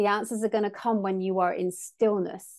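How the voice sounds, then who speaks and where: A woman speaks in an English accent at a moderate pace. Her intonation is fairly even, and the background is quiet. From England. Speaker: sound healer and co-host. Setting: remote recording.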